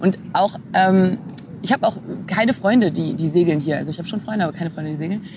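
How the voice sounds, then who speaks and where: Over noticeable background noise, a woman speaks very fast at medium pitch with ordinary pitch variation. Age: 20s. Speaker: sailing skipper and engineering student. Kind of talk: casual interview. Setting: in person, Berlin.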